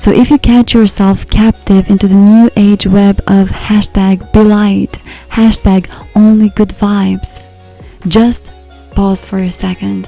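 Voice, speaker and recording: A soft-spoken woman with a medium pitch talks in a monotone, flat way while music plays in the background. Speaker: personal development counselor and relationship coach. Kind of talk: podcast monologue.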